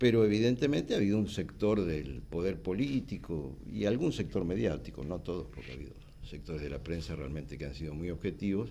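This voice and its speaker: In a Rioplatense accent, a man with a very deep, low voice, a dark, mellow tone and vocal fry swings widely in pitch, talking at a fairly quick pace with hardly any pauses in a room with audible echo. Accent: Argentine Rioplatense Spanish. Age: 60s. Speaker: politician. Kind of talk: TV interview. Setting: TV studio.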